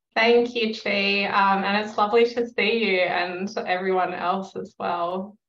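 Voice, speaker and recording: Monotone, flat intonation at a fairly slow pace, with an Australian accent. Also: woman, medium pitch for a woman. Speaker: researcher, yoga and meditation teacher. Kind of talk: academic conference presentation.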